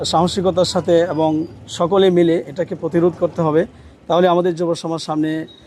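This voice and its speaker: A man speaks in a high voice. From Bangladesh, Kishoreganj. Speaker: politician, parliamentary candidate and cleric. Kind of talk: interview, campaign statement.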